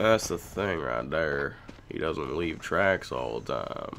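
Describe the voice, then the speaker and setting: A man's put-on character voice, guttural and very deep, at a fairly slow pace with lively intonation, over clear background noise. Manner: put-on, gruff.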